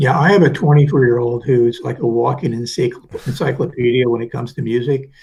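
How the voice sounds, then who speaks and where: At a fairly quick pace, a somewhat breathy man speaks in a medium pitch with fairly even intonation. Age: 70s. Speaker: cybersecurity association executive director. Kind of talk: casual chat.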